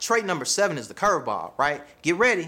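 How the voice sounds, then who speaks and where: Against a silent background on a very clean recording, a man with a Southern US accent sounds animated and energetic, with lively intonation and a bright, sharp tone. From US South. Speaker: relationship coach. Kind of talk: video monologue, motivational advice. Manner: animated, energetic, casual slang.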